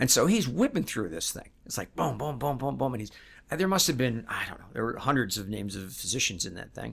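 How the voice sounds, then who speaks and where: A man's very fast speech with vocal fry, very wide pitch swings, and big swings in loudness. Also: medium pitch for a man. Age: 60s. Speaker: financial advisor, firm founder. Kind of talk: interview. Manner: hesitant, many fillers.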